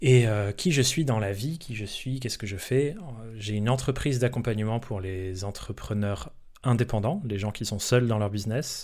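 This man has a plain, everyday voice, speaking at a moderate pace and medium pitch with ordinary pitch variation. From France. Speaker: entrepreneur and content creator. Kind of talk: casual interview chat.

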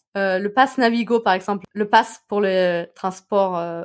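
On a very clean recording with a silent background, a woman with a German accent talks at medium pitch with ordinary pitch variation. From Germany, Ruhr area (Bochum). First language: German (speaking French). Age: 20s. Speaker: German expatriate, podcaster and teacher. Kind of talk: interview. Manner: hesitant, many fillers.

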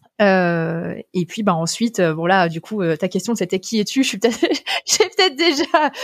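A woman speaks at a medium pitch and a moderate pace. The sound is dry and close, with no echo. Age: 30s. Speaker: founder and CEO of a sustainable mobility company. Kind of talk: interview. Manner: hesitant, many fillers.

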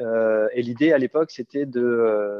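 This man speaks at a moderate pace. His pitch is medium and his intonation fairly even. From Normandy, France. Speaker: solar craft entrepreneur. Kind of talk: interview. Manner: halting, many hesitations.

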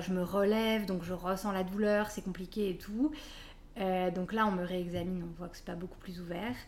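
Recorded with audible room echo, a woman speaks at a moderate pace with fairly even intonation and big swings in loudness. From western France (Nantes). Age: 30s. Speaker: mother sharing birth story. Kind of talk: testimony. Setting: at her home. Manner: hesitant, many fillers.

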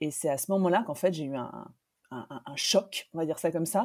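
At a moderate pace, a woman talks in a dark, mellow tone with ordinary pitch variation, recorded very cleanly against a silent background. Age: 40s. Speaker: professional coach. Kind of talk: interview.

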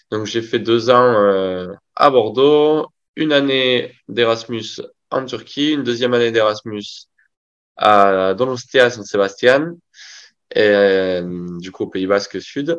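A man talks at a very slow pace and medium pitch, leaving long, frequent pauses. His pitch varies in an ordinary way against a quiet background. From rural France. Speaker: growth marketing agency founder. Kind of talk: interview. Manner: casual.

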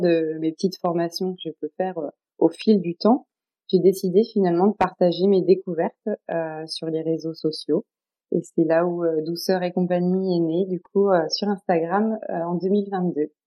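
A woman talks at a fairly slow pace and a fairly low pitch. Her intonation is monotone and flat. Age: 40s. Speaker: social educator and wellness practitioner. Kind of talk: podcast interview. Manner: hesitant, many fillers.

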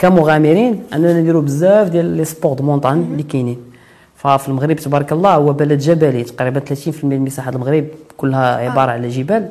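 A man's plain, everyday voice, fairly high-pitched, at a fairly quick pace with ordinary pitch variation. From Morocco, Kenitra. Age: 30s. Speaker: adventurer, former physiotherapist. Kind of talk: interview.

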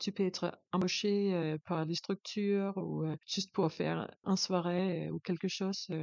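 A woman with a Danish accent at a medium pitch. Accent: Danish accent, sing-song. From Denmark. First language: Danish (speaking French). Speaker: composer and performer. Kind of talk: interview. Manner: halting, non-native French.

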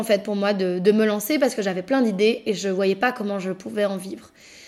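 Fairly quick speech from a woman with ordinary pitch variation over noticeable background noise. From Belgium, Brussels. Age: 20s. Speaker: podcast host and upcycling entrepreneur. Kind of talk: personal storytelling monologue.

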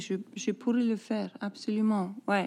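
The tone is dark and mellow, with an Icelandic accent. The recording is very clean, with a silent background. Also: woman. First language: Icelandic (speaking French). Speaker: novelist. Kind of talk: interview. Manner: halting, many repetitions and fillers.

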